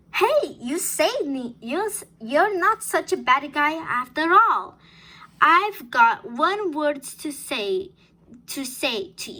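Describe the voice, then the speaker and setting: A woman's put-on character voice, extremely high in pitch and very slow in pace. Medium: read story.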